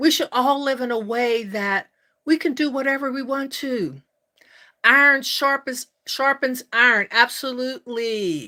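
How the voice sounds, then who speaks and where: A woman's high, bright, sharp voice, raised and projected, at a fairly slow pace with ordinary pitch variation, on a very clean recording with a silent background. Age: 60s. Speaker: life coach and YouTuber. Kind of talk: live stream chat with viewers. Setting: live stream. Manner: warm, enthusiastic.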